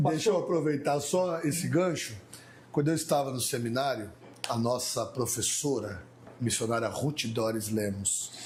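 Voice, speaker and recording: This man's medium-pitched voice is somewhat breathy and lively in intonation, moving at a fairly slow pace with audible room echo. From Mauá, São Paulo, Brazil. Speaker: pastor. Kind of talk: casual chat.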